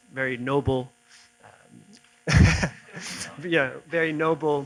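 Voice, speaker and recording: A man speaks with an American accent and fairly even intonation. Noticeable background noise is present. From Italy and the US. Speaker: civil society activist, former lawyer. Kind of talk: conference talk.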